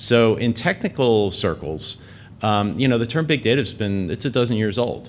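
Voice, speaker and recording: The very clean recording, with a silent background, holds a man with an American accent and a normal speaking voice. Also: medium pitch for a man, lively intonation, moderate pace. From United States. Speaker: tech company executive. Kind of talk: conference talk. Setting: conference stage with audience. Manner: casual with many fillers.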